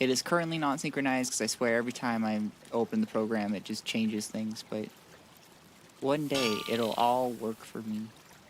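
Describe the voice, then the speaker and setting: At a moderate pace, a man talks in a medium pitch with fairly even intonation and an ordinary speaking voice. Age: 20s. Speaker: streamer. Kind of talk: gaming livestream chat. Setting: livestream to YouTube and Twitch.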